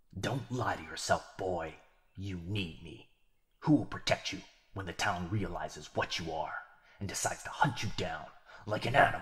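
A man uses a put-on character voice with a very deep, low pitch. He moves at a moderate pace with long, frequent pauses. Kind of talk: yandere ASMR roleplay. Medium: audio drama. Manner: taunting, smug, gloating, playfully menacing.

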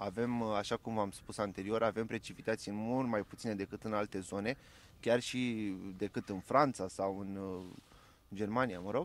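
The sound is dry with no echo. It carries an unremarkable speaking voice with fairly even intonation. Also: man, fairly low pitch for a man, moderate pace. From Romania. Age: 20s. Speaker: farmer and agronomist; interviewee. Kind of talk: interview. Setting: outdoors on a farm field. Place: farm machine. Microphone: handheld.

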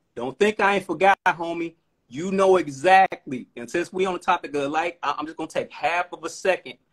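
A man with an American accent talks at a high pitch and a moderate pace, with ordinary pitch variation and big swings in loudness. The background is quiet. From Chicago. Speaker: rapper. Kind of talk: casual chat. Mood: relaxed, appreciative. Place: home room. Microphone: phone near.

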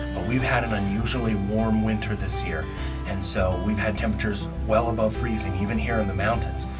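Loud music plays in the background. Over it, a man speaks at a fairly quick pace. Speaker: falconer and nature educator. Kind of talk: educational vlog explanation. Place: tunnel cave. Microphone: phone near.

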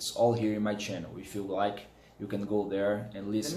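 A man with a Portuguese accent speaks with audible room echo. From Brazil. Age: 30s. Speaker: hobbyist audiophile YouTuber. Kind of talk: product review vlog. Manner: animated. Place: home room. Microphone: phone near.

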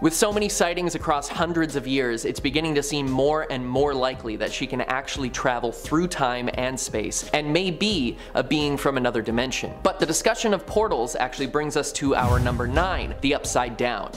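Over faint background music, a man talks at a moderate pace with hardly any pauses and ordinary pitch variation. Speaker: presenter. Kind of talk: countdown list commentary. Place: studio.

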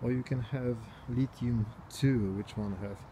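A man speaks in a somewhat breathy voice with ordinary pitch variation. Background noise is noticeable. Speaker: bike owner reviewing his bike. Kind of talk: casual product review. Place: garden. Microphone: phone near.

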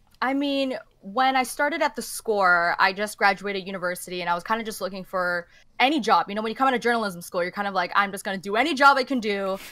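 A woman speaks with a Canadian accent in a bright, sharp tone. Her pace is very fast and her intonation lively. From Canada. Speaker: esports journalist. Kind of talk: casual chat. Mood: relaxed, animated. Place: home room.

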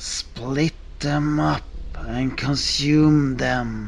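A man's voice with clear background noise and hissing. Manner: hissing, gleeful menace, steady commands hiding rage.

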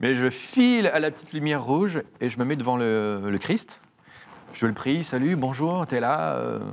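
The intonation is lively as a man speaks. His pace is fairly slow. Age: 40s. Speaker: priest. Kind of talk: interview. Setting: studio. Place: studio. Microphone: lapel.

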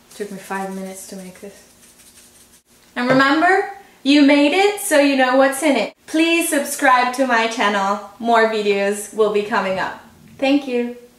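The speaker moves at a moderate pace, with very wide pitch swings and big swings in loudness. Audible room echo is present. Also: woman, high pitch for a woman. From Italy, Tuscany. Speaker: cooking video host. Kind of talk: tutorial. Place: kitchen.

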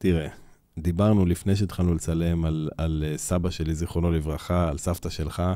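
Against a quiet, dry background with no echo, a man speaks at a moderate pace in a very deep, low voice with a dark, mellow tone and monotone, flat intonation. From Israel, Beersheba; Israel. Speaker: orchestra conductor; guest. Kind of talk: interview. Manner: halting, repeats words. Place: studio. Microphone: studio mic.

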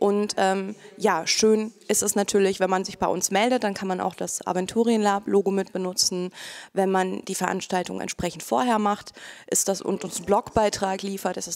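Fairly even in intonation, a woman speaks at a moderate pace. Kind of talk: interview answer. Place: hall. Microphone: handheld.

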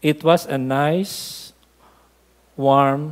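At a medium pitch, a man speaks with fairly even intonation.

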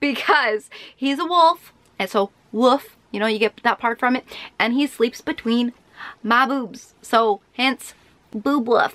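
A woman with a high pitch talks at a very slow pace with ordinary pitch variation. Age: 20s. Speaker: beauty YouTuber; beauty vlogger. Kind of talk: casual vlog chat. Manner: animated. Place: home room.

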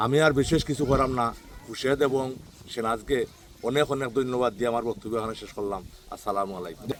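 Pitched at a medium level, a man speaks with ordinary pitch variation. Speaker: local elected ward member. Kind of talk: speech at a local road inauguration.

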